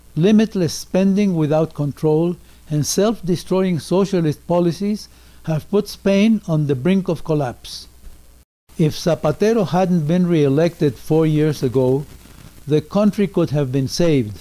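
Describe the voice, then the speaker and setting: A man's high-pitched voice with a dark, mellow tone, very even loudness, ordinary pitch variation and a fairly slow pace. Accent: Spanish. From Mexico. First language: Spanish. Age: 80s+. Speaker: political commentator. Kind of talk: prepared political message. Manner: formal.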